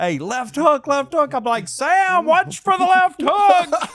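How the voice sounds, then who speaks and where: A man with a strong Southern accent. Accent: thick Southern. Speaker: podcast host, fight cornerman. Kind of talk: casual chat.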